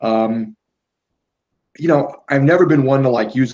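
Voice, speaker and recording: At a moderate pace, a man talks in a New York accent. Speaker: YouTuber. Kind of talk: casual chat.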